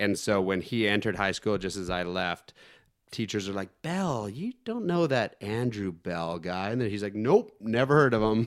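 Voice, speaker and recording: In a plain, everyday voice, a man with a Canadian accent speaks at a moderate pace, with a fairly low pitch and ordinary pitch variation, on a very clean recording with a silent background. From northern British Columbia and Yukon, Canada. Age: 40s. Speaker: former motocross and stunt rider. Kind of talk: casual chat.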